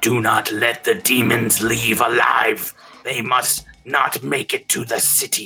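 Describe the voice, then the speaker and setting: Using a put-on character voice, a man speaks raspily at a medium pitch and a fairly slow pace over faint music in the background. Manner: fierce, urgent.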